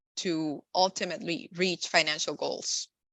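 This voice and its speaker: A woman with a Spanish accent, fairly low pitch, ordinary pitch variation, and a fairly slow pace. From Nicaragua, raised in the US from young. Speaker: insurance and benefits professional. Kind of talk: podcast interview. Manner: frequent fillers (um, uh).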